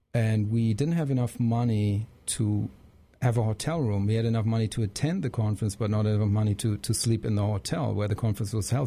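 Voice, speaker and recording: A man's dark, mellow, somewhat breathy voice with a German accent at a fairly quick pace, in a very clean recording with a silent background. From Germany. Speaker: jazz saxophonist. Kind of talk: interview. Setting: studio.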